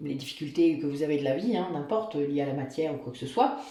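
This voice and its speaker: Amid noticeable background noise and audible room echo, a woman speaks with very wide pitch swings. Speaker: tarot reader and spiritual guide. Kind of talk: tarot reading guidance. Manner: halting, many fillers.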